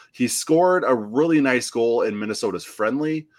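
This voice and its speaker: Speaking at a fairly slow pace with lively intonation, a man in an American accent has an ordinary speaking voice, captured in a very clean recording with a silent background. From US Midwest, Western Illinois. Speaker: soccer podcast host. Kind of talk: casual chat.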